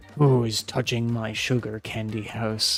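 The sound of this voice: Putting on a gruff, growling character voice, a man speaks at medium pitch with monotone, flat intonation at a moderate pace over light background noise.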